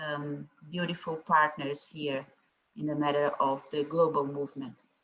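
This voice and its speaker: A woman with a non-native accent speaks at a fairly slow pace in a very deep, low voice with fairly even intonation. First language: not English. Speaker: environmental activist. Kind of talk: panel presentation. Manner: halting.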